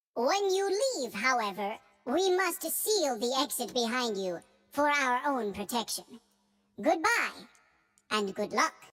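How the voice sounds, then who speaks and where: In a put-on character voice, a female-sounding speaker talks high and fairly slowly, with very wide pitch swings and long, frequent pauses. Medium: machinima. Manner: polite, formal.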